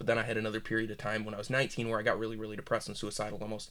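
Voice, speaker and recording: In a very clean recording over a silent background, a man with an American accent talks at a medium pitch. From Michigan. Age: 20s. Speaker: aspiring filmmaker. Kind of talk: casual chat.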